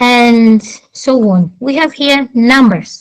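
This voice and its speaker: Speaking very slowly in a Portuguese accent, a woman uses lively intonation. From Angola. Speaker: debate participant. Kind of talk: debate.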